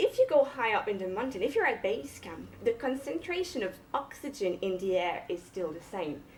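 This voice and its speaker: Her pitch high and swinging very widely, a woman speaks with a French Canadian accent. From Quebec, French Canada. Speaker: cardiologist and mountaineer. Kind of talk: public lecture.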